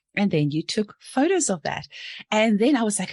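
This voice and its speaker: With a New Zealand accent, a woman speaks very fast in an animated tone with lively intonation, the sound dry and close with no echo. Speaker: podcast host, homeopath. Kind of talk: podcast interview; scripted intro.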